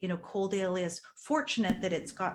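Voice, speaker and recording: Somewhat breathy and fairly low in pitch, a woman talks at a moderate pace. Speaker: strategic planning consultant. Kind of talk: presentation to council. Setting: council meeting.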